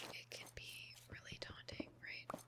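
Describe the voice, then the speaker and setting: Whispering, a woman goes along at a very slow pace. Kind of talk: ASMR whispered rambling and venting over Minecraft gameplay. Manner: whispered, soft, rambling.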